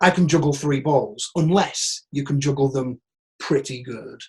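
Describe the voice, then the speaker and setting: A man talks in a northern English accent. His voice is somewhat breathy. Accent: northern English, broad. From northern England, Teesside. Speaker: actor. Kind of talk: Q&A monologue. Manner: animated.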